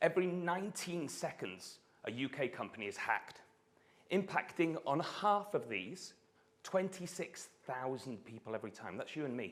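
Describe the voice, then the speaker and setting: Pitched fairly high, a man talks at a moderate pace in a north Welsh accent with very wide pitch swings. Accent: north Welsh (Gog). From Wales, Anglesey (north Wales). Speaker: startup founder. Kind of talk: startup pitch. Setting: stage with audience at stadium.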